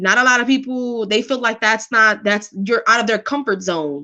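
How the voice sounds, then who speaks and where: A woman talks loudly at a fairly quick pace in a fairly high voice with a New York accent. Her tone is bright and sharp, with ordinary pitch variation. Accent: New York (Bronx). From New York City, the Bronx. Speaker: live stream host. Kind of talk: casual chat.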